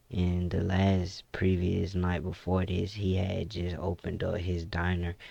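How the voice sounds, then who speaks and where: A man speaks with a very deep, low pitch, a dark, mellow tone and a relaxed, somewhat breathy delivery. His intonation is monotone and flat, his pace fairly slow, and the recording very clean with a silent background. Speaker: gaming YouTuber. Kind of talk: casual gameplay commentary. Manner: mellow, relaxed.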